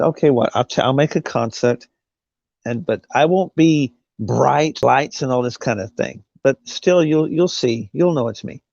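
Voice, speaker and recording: In an American accent, a man speaks at a fairly slow pace with ordinary pitch variation. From Britain. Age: 40s. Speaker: livestream host and singer. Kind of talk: casual chat.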